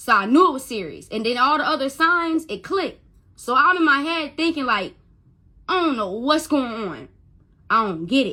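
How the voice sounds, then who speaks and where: Projecting loudly, a woman speaks at a moderate pace with high pitch and very wide pitch swings. The recording is very clean with a silent background. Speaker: mother telling her story. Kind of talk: testimony. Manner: stuttering when upset; emotional, halting.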